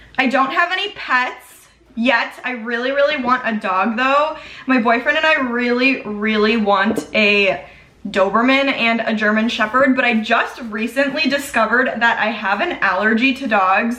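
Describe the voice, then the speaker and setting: A woman with an American accent and a fairly high pitch talks at a moderate pace with ordinary pitch variation, amid noticeable background noise and audible room echo. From US Midwest, Chicago. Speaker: beauty vlogger. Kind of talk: makeup tutorial and Q&A chat. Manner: casual, chatty.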